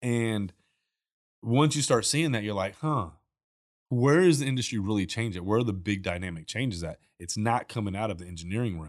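In a plain, everyday voice, a man talks at a fairly quick pace with a fairly low pitch and lively intonation, recorded very cleanly over a silent background. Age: 40s. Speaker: chemical company founder. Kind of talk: casual chat. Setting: studio.

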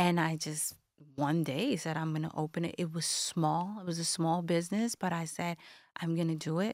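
In a very clean recording with a silent background, a woman with a fairly low voice speaks at a moderate pace with fairly even intonation. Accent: American. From Brooklyn, New York. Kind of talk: casual interview chat. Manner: emotional, warm.

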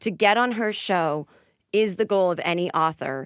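A woman with a Boston accent and ordinary pitch variation, in a very clean recording with a silent background and a dry, close sound with no echo. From Boston area, Massachusetts. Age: 40s. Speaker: comedian and author. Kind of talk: casual chat.

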